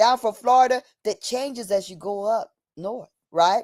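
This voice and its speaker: With an American accent, the speaker sounds animated at a moderate pace. The recording is very clean, with a silent background. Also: woman. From New Jersey, US. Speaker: streamer and commentator on heritage and property fraud. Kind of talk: livestream monologue. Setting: livestream.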